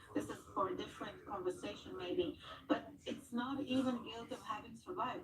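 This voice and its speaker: Her pitch is high and swings very widely as this woman talks at a moderate pace. Audible room echo surrounds the voice. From Israel. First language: Hebrew. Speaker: trauma center representative. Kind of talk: TV news interview.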